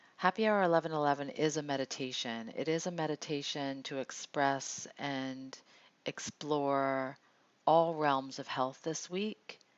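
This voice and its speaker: Soft-spoken, the woman uses a very deep, low pitch with ordinary pitch variation. Her pace is fairly slow. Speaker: meditation host and card reader. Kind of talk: guided meditation with card reading. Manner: halting.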